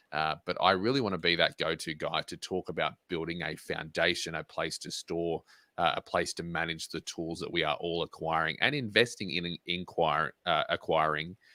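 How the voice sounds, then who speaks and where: Recorded very cleanly against a silent background with a dry, close sound and no echo, a man speaks at a moderate pace in a very deep, low pitch with a bright, sharp tone and ordinary pitch variation. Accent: Australian. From Australia. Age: 20s. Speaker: motivational speaker and pilot. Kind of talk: interview.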